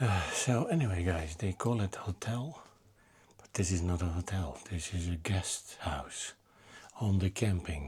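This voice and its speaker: Quiet and somewhat breathy, a man speaks fairly slowly in a very deep, low pitch. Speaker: motorcycle travel vlogger. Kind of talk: travel vlog narration. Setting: guest house room.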